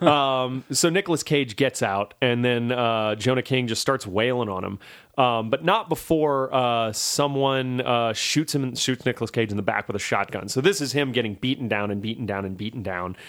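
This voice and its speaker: An ordinary speaking voice with an American accent speaks at a moderate pace, with ordinary pitch variation and hardly any pauses. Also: man, medium pitch for a man. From Louisiana, US South. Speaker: podcast host, film reviewer. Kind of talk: casual chat.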